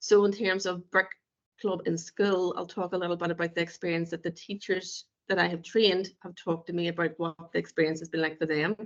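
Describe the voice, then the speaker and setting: Her fairly low voice stays monotone and flat as this woman talks at a fairly quick pace. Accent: Northern Irish. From Northern Ireland. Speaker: play therapist. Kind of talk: webinar presentation. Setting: online webinar.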